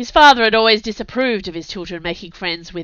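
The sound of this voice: An unforced reading voice carries the whole clip.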